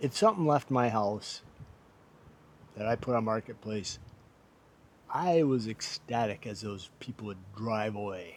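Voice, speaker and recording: A man with a medium-pitched voice talks at a fairly slow pace, with ordinary pitch variation and long, frequent pauses. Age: 60s. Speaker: vlogger. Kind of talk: casual vlog monologue. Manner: folksy, conversational.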